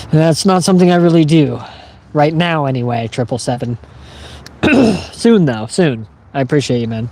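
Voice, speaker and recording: Over noticeable background noise, a man with a fairly high pitch speaks at a moderate pace with lively intonation and long, frequent pauses. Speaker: livestreamer. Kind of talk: casual chat. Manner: fumbles words.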